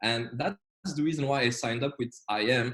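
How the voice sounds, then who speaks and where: A man's somewhat breathy voice in a French accent. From Belgium, French-speaking. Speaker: trading educator. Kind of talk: online trading lecture. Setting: video call. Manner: hesitant, many fillers.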